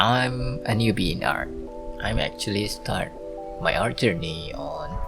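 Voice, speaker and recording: The speaker has a non-native accent and a fairly slow pace. Music plays in the background. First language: not English. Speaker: beginner digital artist. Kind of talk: voice-over narration of speedpaint. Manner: hesitant, many fillers.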